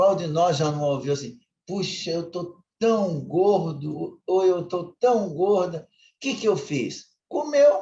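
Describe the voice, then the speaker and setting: This man's voice sits high for a man, with a dark, mellow tone, lively intonation and a very slow pace. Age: 60s. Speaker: lay preacher. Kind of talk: sermon. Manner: conversational, informal.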